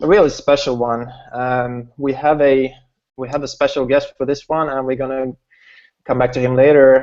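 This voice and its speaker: A man with a Swedish accent speaks at a medium pitch and fairly quick pace in a flat monotone, broken by long, frequent pauses. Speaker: online business host. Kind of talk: webinar hangout presentation. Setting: video call. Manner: halting, many repetitions.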